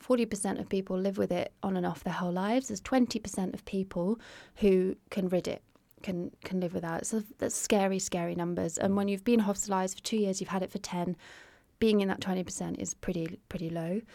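Very fast speech from a woman at a medium pitch with a dark, mellow tone and fairly even intonation. The recording is very clean, with a silent background. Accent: English. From UK. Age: 30s. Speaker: artist and art therapist. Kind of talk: interview, personal testimony. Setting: small home podcast studio in a shower cubicle.

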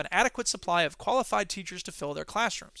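A man's raised, projected voice, bright and sharp in tone, with lively intonation. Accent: American. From US Midwest. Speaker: podcast host and educator. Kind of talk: solo monologue podcast. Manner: fast talker; loud, animated.

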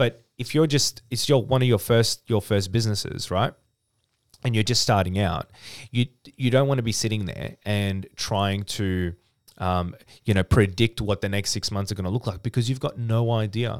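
An Australian accent at a moderate pace with ordinary pitch variation, on a very clean recording with a silent background. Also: man, fairly low pitch for a man. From Australia, Melbourne (Dandenong). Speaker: business owner and author. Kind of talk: casual interview chat.

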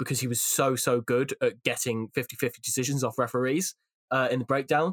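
A man with a Welsh accent talks at a fairly quick pace and medium pitch, with a dry, close sound with no echo. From Wales. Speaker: rugby YouTuber and pundit. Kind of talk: casual podcast discussion.

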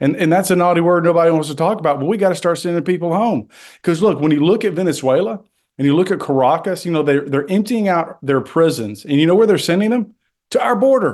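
Talking at a very fast pace, a man with a high pitch keeps his loudness very even while his intonation stays lively over a quiet background. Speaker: congressman. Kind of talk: radio interview about politics.

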